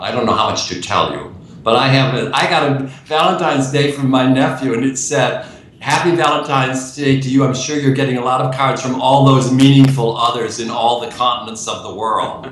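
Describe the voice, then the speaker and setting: A man's medium-pitched voice, fairly quick and fairly even in intonation, over noticeable background noise. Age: 80s+. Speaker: author and playwright. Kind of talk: interview answer. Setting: video call.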